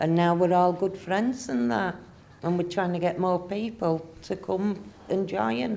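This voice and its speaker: Speaking at a fairly slow pace with a northern English accent, a woman keeps her loudness very even, her fairly low voice carrying a dark, mellow tone. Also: lively intonation. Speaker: community centre volunteer. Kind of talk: interview.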